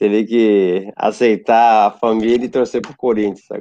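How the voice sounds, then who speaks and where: Here a man talks at a fairly low pitch. His tone is dark and mellow. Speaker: futsal coach. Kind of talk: casual chat.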